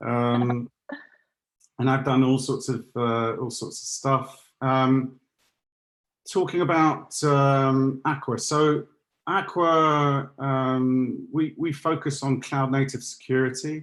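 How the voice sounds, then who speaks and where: A man with an English accent talks very slowly at a medium pitch. His intonation stays fairly even, and the background is quiet. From London, England. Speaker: security solutions architect. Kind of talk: webinar presentation. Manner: halting, many fillers.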